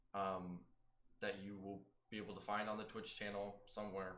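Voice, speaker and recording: Heard with audible room echo, a man speaks at a moderate pace in a fairly low pitch with a bright, sharp tone. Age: 20s. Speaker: actor and role-playing game player. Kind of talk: casual chat. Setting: live stream. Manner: hesitant, many filler words.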